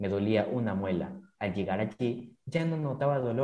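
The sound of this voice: Lively intonation marks an unforced reading voice.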